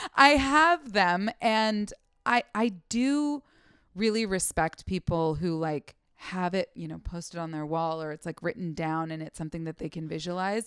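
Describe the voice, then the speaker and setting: In a normal speaking voice with an American accent, a woman at a fairly low pitch uses lively intonation and big swings in loudness at a moderate pace, recorded very clean with a silent background and a dry, close sound with no echo. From US Pacific Northwest, Seattle. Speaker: comedian. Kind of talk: casual chat.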